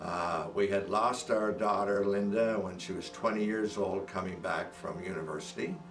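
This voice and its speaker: A man at a moderate pace with hardly any pauses, plus audible room echo and music in the background. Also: fairly low pitch for a man, ordinary pitch variation. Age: 80s+. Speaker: testimonial giver. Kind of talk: testimony. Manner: halting.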